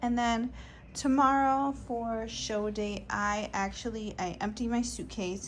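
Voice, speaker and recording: This woman's voice is somewhat breathy. Her intonation stays fairly even. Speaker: bodybuilding competitor and vlogger. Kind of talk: casual vlog. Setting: hotel room. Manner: soft-spoken.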